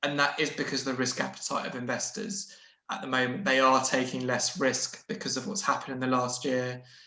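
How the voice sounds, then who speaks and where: Speaking at a fairly quick pace with lively intonation, a man with a medium-pitched voice is heard amid audible room echo. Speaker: investment adviser. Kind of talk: webinar Q&A answer. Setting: online webinar. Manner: halting, self-correcting.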